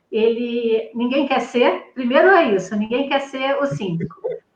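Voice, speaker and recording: Moderately paced speech from a woman, high in pitch, with ordinary pitch variation. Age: 50s. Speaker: psychologist and business owner. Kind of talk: live stream panel talk.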